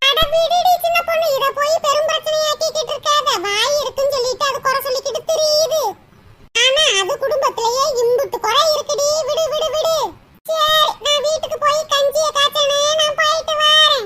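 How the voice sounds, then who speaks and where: In a cartoonish character voice, a female-sounding speaker talks at a fairly slow pace with extremely high pitch. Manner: chatty, gossipy.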